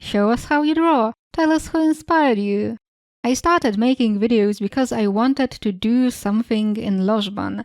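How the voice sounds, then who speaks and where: A woman with a Polish accent speaks at a fairly slow pace, her fairly high pitch moving with ordinary variation, in a dry, close recording with no echo. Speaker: YouTuber. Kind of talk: casual Q&A, reading and answering questions.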